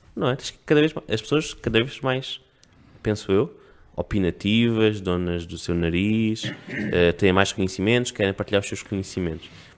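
A man talks at a moderate pace in a plain, everyday voice. His pitch sits fairly low, with ordinary pitch variation. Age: 30s. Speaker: communications consultant. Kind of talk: casual chat.

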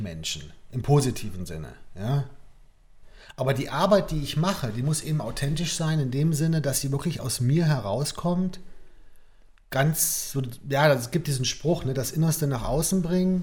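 Somewhat breathy and fairly high-pitched, a man speaks at a fairly slow pace with lively intonation and long, frequent pauses, in audible room echo. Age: 40s. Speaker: artist. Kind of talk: casual chat.

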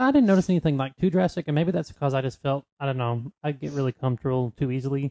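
In a Southern US accent, a man talks very fast in a playful tone, his fairly high voice dark and mellow, recorded dry and close with no echo. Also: ordinary pitch variation, hardly any pauses. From North Carolina, US South. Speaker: podcast co-host. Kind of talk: casual chat. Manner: joking, playful.

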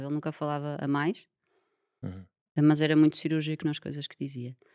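Background silence and a very clean recording define the clip. There is no echo, and the sound is dry and close. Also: woman. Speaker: environmental engineer and yoga teacher. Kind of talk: casual interview chat.

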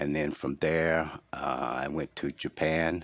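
The recording is very clean, with a silent background. A man speaks in a very deep, low voice with vocal fry and a monotone, flat intonation. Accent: American. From US South, North Carolina (Henderson). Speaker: retired business executive and church elder. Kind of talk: interview. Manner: halting.

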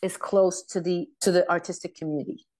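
Against a quiet background, a woman with a Quebec accent speaks in a dark, mellow tone. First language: French. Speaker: rock singer. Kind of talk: interview.

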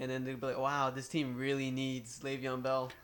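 The speaker is a man with a fairly high pitch. He talks at a fairly quick pace. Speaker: sports podcast co-host. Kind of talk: casual sports banter.

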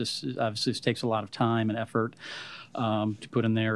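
The recording is very clean, with a silent background. A man speaks at a moderate pace and medium pitch in a normal speaking voice. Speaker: school board member. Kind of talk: public meeting debate.

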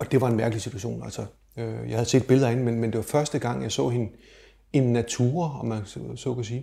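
This is a man with a medium pitch. His voice is somewhat breathy. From Denmark, Slagelse (Zealand). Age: 50s. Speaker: adoptee sharing personal story. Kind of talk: personal testimony interview. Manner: hesitant, filler words and repetitions.

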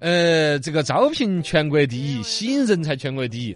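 The man's tone is animated. He talks at a moderate speed. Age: 40s. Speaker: radio host. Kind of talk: casual radio talk show.

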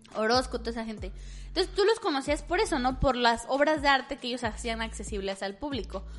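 Against noticeable background noise, a woman talks at a very fast pace in a high pitch with lively intonation. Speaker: podcast co-host. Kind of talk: casual chat.

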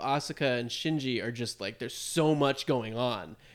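A man with an American accent and a normal speaking voice, with ordinary pitch variation. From United States. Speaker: podcast co-host. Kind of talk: casual chat.

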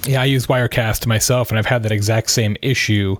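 Recorded dry and close with no echo, a man with a plain, everyday voice speaks at medium pitch with fairly even intonation. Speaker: podcast host. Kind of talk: scripted intro and interview.

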